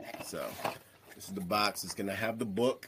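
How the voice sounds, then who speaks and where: Noticeable background noise sits behind a man who talks at a fairly quick pace in an American accent. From New York, Staten Island. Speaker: licensed therapist and mental health speaker. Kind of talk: casual interview chat.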